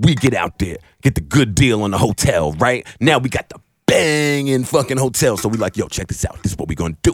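Vocal fry runs through this man's medium-pitched voice. He speaks fairly quickly, and his pitch swings very widely. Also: dry, close sound with no echo. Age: 30s. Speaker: podcast host. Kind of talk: casual chat. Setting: studio. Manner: animated.

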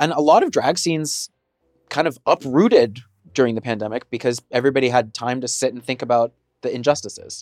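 An ordinary speaking voice at a fairly quick pace, with ordinary pitch variation and a dry, close sound with no echo on a very clean recording with a silent background. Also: man, medium pitch for a man. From Texas. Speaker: drag performer. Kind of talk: casual chat.

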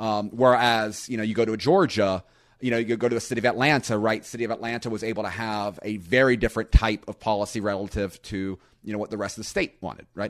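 Against a quiet background, a man with a fairly low voice speaks very fast with fairly even intonation. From US South, Florida Panhandle. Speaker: economist. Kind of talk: interview.

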